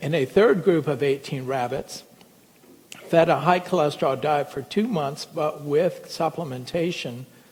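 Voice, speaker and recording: A fairly high-pitched man, fairly slow and lively in intonation, over noticeable background noise. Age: 60s. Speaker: physician. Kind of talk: lecture.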